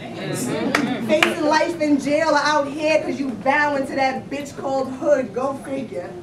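A woman's high voice at a fairly slow pace with ordinary pitch variation, over noticeable background noise. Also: hardly any pauses. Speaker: spoken word poet. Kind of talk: spoken word poetry performance. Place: stage.

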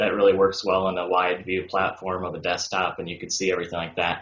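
Monotone, flat delivery at a fairly quick pace, with audible room echo. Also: man. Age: 20s. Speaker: dentist; guest. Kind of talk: interview. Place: home room. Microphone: video call.

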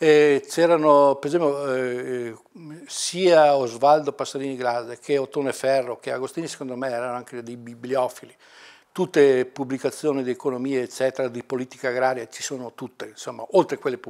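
Against a quiet background, the speech moves at a moderate pace with fairly even intonation. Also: man. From Italy, Mantua province (Lombardy); Lombardy, Italy. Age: 60s. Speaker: retired university librarian. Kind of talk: oral history interview. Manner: halting, many fillers. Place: office.

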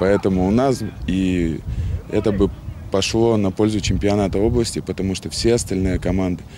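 A man speaks at a moderate pace with a very deep, low pitch and ordinary pitch variation. The sound is dry with no echo, over light background noise. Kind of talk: interview answer. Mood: calm, measured. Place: stadium.

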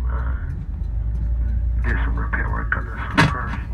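Against loud background noise, a man speaks at a moderate pace. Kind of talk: public announcement. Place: bus.

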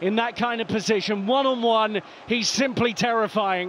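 Over noticeable background noise, a man with a high-pitched voice talks at a moderate pace with fairly even intonation. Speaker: match commentator. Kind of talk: live sports commentary, call-by-call match narration.

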